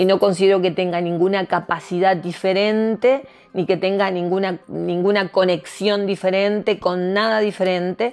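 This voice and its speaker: A woman talks at a moderate pace with hardly any pauses. Her medium-pitched voice has flat, monotone intonation. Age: 60s. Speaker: tarot reader. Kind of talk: interview.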